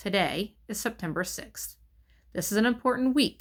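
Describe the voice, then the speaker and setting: A female-sounding voice in a put-on character voice, squeaky and shaky with a fairly high pitch, moves at a moderate pace in a very clean recording with a silent background. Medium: read story. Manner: nervous, forced cheer.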